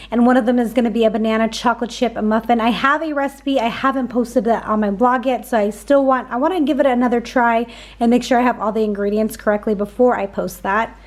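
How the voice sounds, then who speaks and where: The delivery is very fast, with an upbeat tone. Noticeable background noise runs underneath. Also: woman, fairly high pitch for a woman, hardly any pauses. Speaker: grocery haul vlogger. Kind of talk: casual vlog show-and-tell. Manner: chatty, upbeat.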